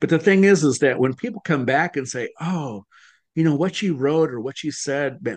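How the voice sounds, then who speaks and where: An unremarkable speaking voice from a man, fairly high in pitch, at a moderate pace with lively intonation. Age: 60s. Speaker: author and speaking coach. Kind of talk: interview.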